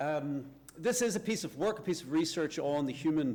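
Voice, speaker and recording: Here a man talks at a moderate pace with a Northern Irish accent. His pitch sits fairly high. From Northern Ireland. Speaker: university lecturer, researcher. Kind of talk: conference talk.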